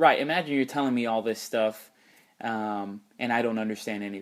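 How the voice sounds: A man talks at a fairly low pitch and a fairly quick pace. His intonation stays fairly even.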